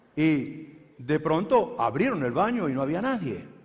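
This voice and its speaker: A man speaks with very wide pitch swings. There is audible room echo. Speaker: pastor. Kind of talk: sermon.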